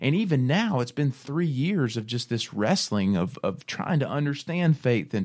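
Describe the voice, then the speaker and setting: At a moderate pace, a man with an American accent talks in an ordinary speaking voice. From US South. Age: 30s. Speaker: radio host. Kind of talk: faith-based radio talk. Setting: radio studio.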